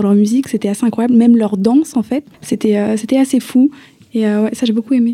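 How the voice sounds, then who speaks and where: At a fairly quick pace, a woman talks in a normal speaking voice with a fairly high pitch. Her intonation is fairly even, and the sound is dry and close with no echo. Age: 20s. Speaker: young traveller. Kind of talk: radio interview.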